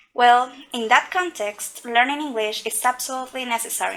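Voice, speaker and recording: A woman's fairly high voice at a fairly quick pace, over noticeable background noise. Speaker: English teaching student. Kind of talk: scripted podcast interview.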